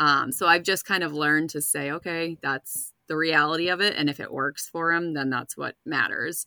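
In a very clean recording with a silent background and a dry, close sound with no echo, a woman with an American accent speaks at a very deep, low pitch in a bright, sharp tone, at a moderate pace with fairly even intonation and hardly any pauses. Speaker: runner, spouse of recovering alcoholic. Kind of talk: casual interview.

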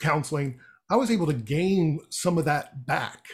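A somewhat breathy man with an American accent and ordinary pitch variation, on a very clean recording with a silent background. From US Midwest. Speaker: radio executive. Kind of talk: casual interview chat.

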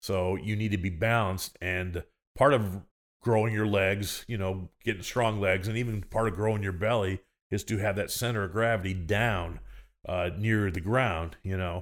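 Speaking in a normal speaking voice with an American accent, a man talks at a fairly low pitch and moderate pace, with fairly even intonation, in a very clean recording with a silent background. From US Midwest (Illinois). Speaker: sumo wrestler and coach. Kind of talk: casual chat. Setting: host's living room.

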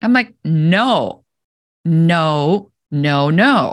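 A woman speaks in a fairly low pitch with lively intonation. The background is quiet. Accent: German. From Germany. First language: German. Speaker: business coach and entrepreneur. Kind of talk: interview.

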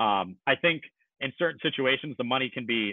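An ordinary speaking voice from a man with an American accent, lively intonation and a moderate pace. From US Northeast, Maine (Kennebunkport). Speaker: merchant marine officer. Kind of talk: casual interview.

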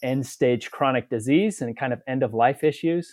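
In an American accent, a man with an unremarkable speaking voice talks at a moderate pace, his pitch medium and its variation ordinary. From Utah. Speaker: family physician. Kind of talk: interview.

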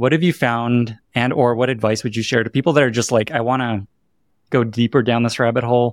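In a very clean recording with a silent background and a dry, close sound with no echo, a man with a normal speaking voice talks at a medium pitch and a fairly quick pace, his intonation fairly even. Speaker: podcast host. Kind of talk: interview conversation. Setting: hotel room.

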